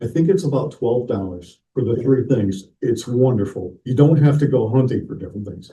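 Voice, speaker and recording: The voice has a dark, mellow tone, is somewhat breathy, and keeps a moderate pace. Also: man. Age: 60s. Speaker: model railroad clinic presenter. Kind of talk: hobby workshop presentation. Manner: halting, repeats words.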